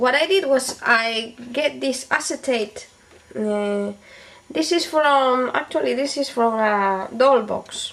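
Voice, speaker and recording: A woman with a non-native accent and a high pitch speaks at a very slow pace. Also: ordinary pitch variation. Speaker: beauty and DIY video maker. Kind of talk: tutorial. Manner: halting, with fillers.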